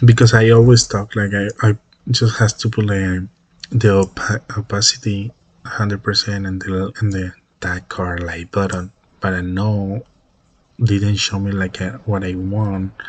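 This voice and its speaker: Fairly low in pitch and somewhat breathy, a man talks at a fairly slow pace in a monotone, flat intonation. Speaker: web development student. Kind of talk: project presentation. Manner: halting, many repetitions and fillers.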